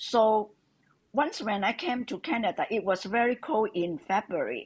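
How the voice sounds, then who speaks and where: A speaker with a Hong Kong accent uses lively intonation. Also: woman, fairly high pitch for a woman, moderate pace. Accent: Hong Kong Cantonese-accented English. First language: Cantonese. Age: 70s. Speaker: interviewee, retired immigrant mother. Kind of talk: interview. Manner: halting.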